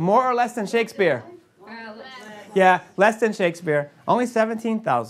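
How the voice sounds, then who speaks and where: With a New England accent, the man speaks at a high pitch. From New England, US. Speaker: university writing program director. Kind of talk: workshop lecture. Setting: workshop room with audience. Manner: fast; animated.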